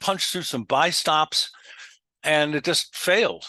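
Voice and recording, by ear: A fairly high-pitched male voice, bright and sharp in tone, with a dry, close sound and no echo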